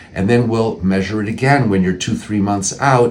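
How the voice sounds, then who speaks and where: A man talks at a fairly quick pace while noticeable background noise carries on. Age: 60s. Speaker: plastic surgeon. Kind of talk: informational talk to camera. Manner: conversational, with frequent fillers and restarts.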